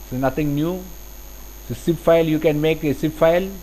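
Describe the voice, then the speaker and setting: A man speaks at a fairly high pitch. His intonation is fairly even and his pace moderate. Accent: Keralan. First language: Malayalam. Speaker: CAD software instructor. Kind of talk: tutorial. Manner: halting.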